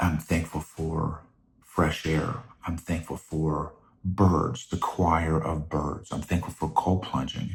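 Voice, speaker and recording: Soft-spoken and somewhat breathy, a man talks at a very deep, low pitch with fairly even intonation. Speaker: podcast host. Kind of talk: casual monologue. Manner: halting.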